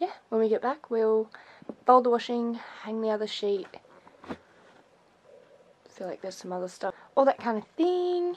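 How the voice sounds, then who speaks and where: This woman's voice has lively intonation. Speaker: vlogger. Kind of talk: casual vlog chat. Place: home room. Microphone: phone near.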